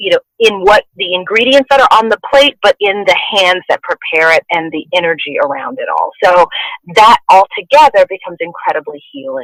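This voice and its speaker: With an American accent, a woman's voice swings very widely in pitch, recorded with a dry, close sound and no echo. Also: medium pitch for a woman, moderate pace. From Texas, Houston. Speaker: actor and memoir author. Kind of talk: podcast interview.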